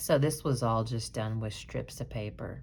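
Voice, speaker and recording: At a moderate pace, a woman talks. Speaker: dollhouse miniature crafter. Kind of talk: tutorial. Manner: casual, slightly halting.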